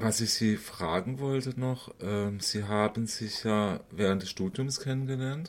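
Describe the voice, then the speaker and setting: A man's plain, everyday voice at medium pitch, fairly slow yet with hardly any pauses, with ordinary pitch variation. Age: 50s. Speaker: interviewer. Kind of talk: interview.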